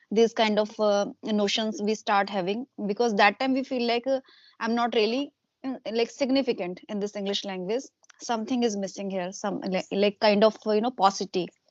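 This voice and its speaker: A woman's fairly high voice with an Indian accent, fairly even intonation and a moderate pace. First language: Hindi. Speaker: homemaker and YouTuber. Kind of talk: casual interview conversation. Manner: hesitant, many fillers.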